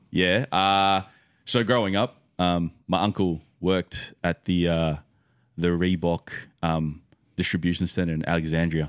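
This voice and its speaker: In an Australian accent, a man speaks at a very deep, low pitch with fairly even intonation and a fairly slow pace, on a very clean, dry, close recording with a silent background and no echo. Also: very even loudness. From Australia, western Sydney. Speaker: podcast guest, sneaker collector. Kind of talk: casual chat.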